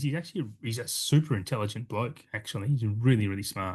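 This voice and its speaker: Speaking at a fairly quick pace with an Australian accent, a man sounds somewhat breathy and makes very wide pitch swings, with a quiet background behind him. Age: 40s. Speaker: podcast host. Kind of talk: casual chat.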